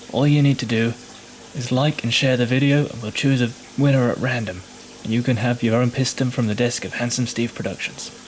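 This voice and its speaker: A man at a medium pitch and fairly quick pace, fairly even intonation, and noticeable background noise. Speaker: workshop staff member. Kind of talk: giveaway announcement.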